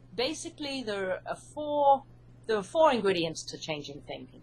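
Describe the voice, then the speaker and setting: A woman with a British accent talks at a moderate pace. Her fairly high pitch swings very widely. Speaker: hypnotherapist and author. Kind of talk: interview.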